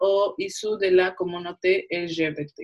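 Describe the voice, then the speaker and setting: Her speech is very slow. The woman's pitch shifts in an ordinary way. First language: Spanish (speaking French). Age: 20s. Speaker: film student. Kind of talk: panel discussion.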